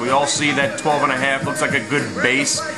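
A man talks while clear music can be heard behind him. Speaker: amateur stock commentator. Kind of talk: casual vlog commentary. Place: home room. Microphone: webcam.

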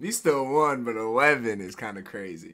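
The speaker is a man. His tone is animated. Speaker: YouTube reaction video creator. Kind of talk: reaction video over game footage, casual chat. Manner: animated, excitable fan, casual slangy. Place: home room. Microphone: webcam.

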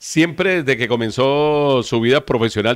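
The speaker is a man with ordinary pitch variation. The background is quiet. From Colombia, Valle del Cauca. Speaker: web TV host. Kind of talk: interview. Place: studio.

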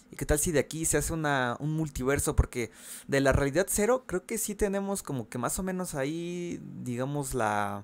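Speaking with a Mexican accent, this man has a fairly high pitch. His intonation is lively. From Mexico. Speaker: gaming YouTuber. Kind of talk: casual video commentary. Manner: fast; halting.

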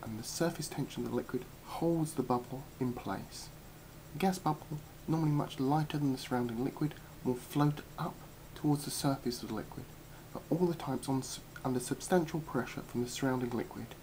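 Light background noise sits behind a man speaking at a fairly quick pace. His somewhat breathy voice has a dark, mellow tone and fairly even intonation. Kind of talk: lecture. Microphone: webcam.

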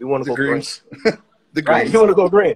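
A man speaks in a dry sound with no echo. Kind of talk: casual political discussion. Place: home room. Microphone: studio mic.

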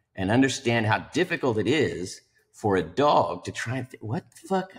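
The speech moves at a fairly slow pace. Pitch swings very widely throughout. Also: man. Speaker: podcast guest. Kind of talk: podcast discussion. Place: home room. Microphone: video call.

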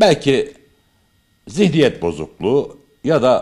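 A man with very wide pitch swings over a quiet background. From Turkey, Kayseri; Turkey. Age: 50s. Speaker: amateur theatre actor. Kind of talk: interview. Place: hall. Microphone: studio mic.

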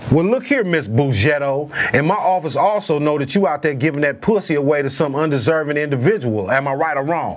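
A man talks at a fairly quick pace with lively intonation and hardly any pauses. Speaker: comic debt-collector character. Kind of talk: comedy sketch acting, phone talk. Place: office.

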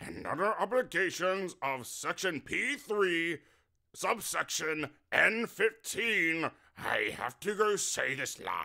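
A man in a cartoonish character voice, high-pitched and very slow.

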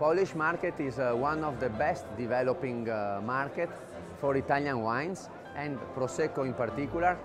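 With clear music in the background, a man speaks at a moderate pace with ordinary pitch variation. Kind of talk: interview answer. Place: hall. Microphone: lapel.

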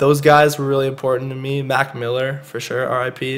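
Speaking at a moderate pace, a man with a Canadian accent has a plain, everyday voice at a fairly high pitch. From Canada, Calgary. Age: 20s. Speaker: rapper. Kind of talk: casual chat.

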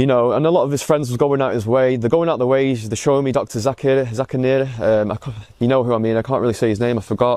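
Speaking at a very fast pace, a man is heard over a quiet background in a dry sound with no echo. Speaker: convert giving testimony. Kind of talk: testimony. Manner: halting. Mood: reflective, earnest. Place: garden. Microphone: phone near.

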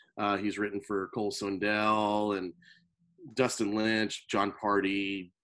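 Very slowly and with flat, monotone intonation, a man with an American accent talks in a fairly low voice with a bright, sharp tone. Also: quiet background. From North Carolina. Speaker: drummer. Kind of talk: casual chat. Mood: relaxed, friendly. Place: home room. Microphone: video call.

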